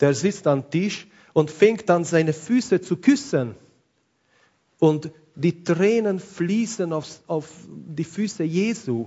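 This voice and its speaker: A man with a non-native accent speaks at a very slow pace. His pitch is high, and his intonation is lively. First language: not German (speaking German). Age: 40s. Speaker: pastor. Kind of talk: sermon.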